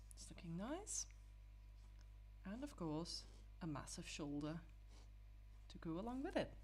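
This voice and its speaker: With music in the background and audible room echo, a woman speaks at a fairly slow pace. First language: not English. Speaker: digital artist. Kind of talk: tutorial. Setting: live stream. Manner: halting, with many fillers.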